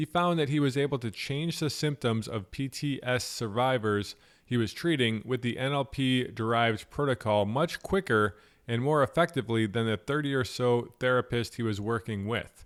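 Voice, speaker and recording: An unremarkable speaking voice from a man with an American accent, medium pitch, ordinary pitch variation and moderate pace, on a very clean recording with a silent background. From Buffalo, New York. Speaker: podcast host. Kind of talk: interview; scripted introduction.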